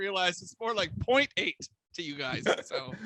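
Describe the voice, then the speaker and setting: Raising and projecting his voice, a man speaks at a moderate pace with very wide pitch swings in a dry, close sound with no echo. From Canada. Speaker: comedian. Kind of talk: casual chat. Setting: game show.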